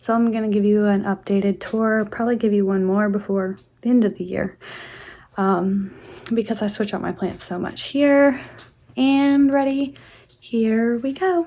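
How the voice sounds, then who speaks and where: A woman speaks quietly at a moderate pace. Her fairly high voice shows ordinary pitch variation. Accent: American. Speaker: plant YouTuber. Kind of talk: casual home tour vlog. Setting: at home.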